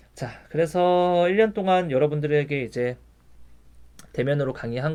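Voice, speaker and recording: The background is quiet. A man speaks in a fairly high voice with ordinary pitch variation. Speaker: university lecturer in physical therapy. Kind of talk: recorded online lecture. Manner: fast.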